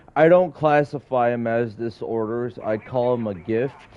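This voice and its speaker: Noticeable background noise sits behind a man at medium pitch. He talks at a fairly slow pace with ordinary pitch variation. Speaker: video game streamer. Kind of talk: casual chat.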